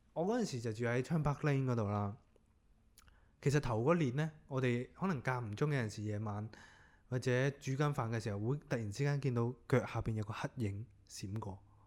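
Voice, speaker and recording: An unremarkable speaking voice from a man at medium pitch, with ordinary pitch variation, a moderate pace and a very clean recording with a silent background. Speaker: podcast host. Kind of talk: casual chat.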